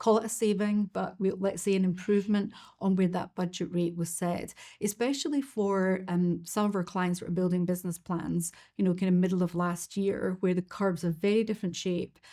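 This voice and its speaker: With a Scottish accent, a woman talks at a fairly quick pace in a medium pitch. Her tone is dark and mellow, and her intonation fairly even. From Scotland. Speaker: financial markets expert. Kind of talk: webinar presentation. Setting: online webinar.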